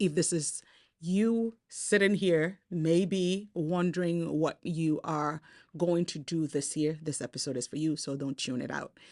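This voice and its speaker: At a fairly slow pace, a woman speaks in a fairly low voice with ordinary pitch variation over a quiet background. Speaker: faith-based motivational speaker. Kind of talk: motivational talk to camera. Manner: animated.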